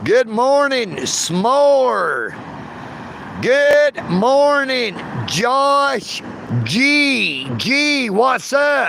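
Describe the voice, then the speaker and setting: A man with a strong Southern US accent speaks at an extremely high pitch with ordinary pitch variation. His pace is very slow, and there is noticeable background noise. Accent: thick Southern. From US South, Dalton, Georgia. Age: 50s. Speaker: live streamer. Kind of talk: casual chat. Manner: animated.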